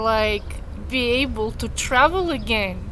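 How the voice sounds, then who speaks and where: A woman with a Russian accent, high pitched and very slow, with ordinary pitch variation, noticeable background noise and audible room echo. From Russia, Moscow. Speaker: vlogger. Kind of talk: personal storytelling. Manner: casual, many fillers.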